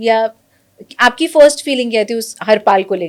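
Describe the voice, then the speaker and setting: The voice is a woman's, fairly high in pitch. She has an ordinary speaking voice. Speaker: interviewer. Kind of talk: interview questions.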